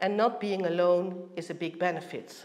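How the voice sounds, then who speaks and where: A woman speaks at a moderate pace with a Dutch accent. Noticeable background noise and audible room echo surround her. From Netherlands. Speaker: heritage organisation director. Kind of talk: conference presentation.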